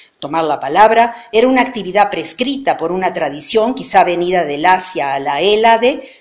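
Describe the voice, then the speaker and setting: Pitch swings very widely as a woman speaks at a medium pitch and moderate pace, with audible room echo. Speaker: professor. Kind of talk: lecture.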